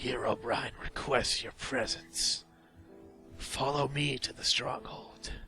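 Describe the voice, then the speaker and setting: A man's put-on character voice at a medium pitch, fairly slow, with clear music in the background. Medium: read story. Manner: impatient.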